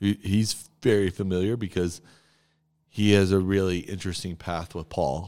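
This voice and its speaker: Speech moves at a moderate pace with fairly even intonation. The recording is very clean, with a silent background. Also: man. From Texas. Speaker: church podcast host, pastor. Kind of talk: casual chat about scripture.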